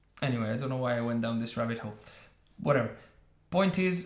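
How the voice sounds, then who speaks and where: Speaking with an Italian accent, a man uses lively intonation in a somewhat breathy voice, with audible room echo around him. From northern Italy, Trieste. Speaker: YouTube commentator. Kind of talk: reaction video commentary. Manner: halting, many fillers.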